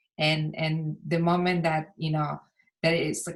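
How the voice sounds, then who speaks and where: Somewhat breathy and very deep, a woman's voice holds a monotone, flat intonation on a very clean recording with a silent background. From outside the US, immigrated at fifteen. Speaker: film editor moderating a Q&A. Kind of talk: panel Q&A discussion. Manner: hesitant, many fillers.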